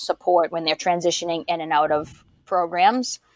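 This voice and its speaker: Dry and close with no echo, a woman speaks at a fairly low pitch with a Boston accent. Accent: thick Boston. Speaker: podcast host and doctoral student. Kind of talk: podcast interview.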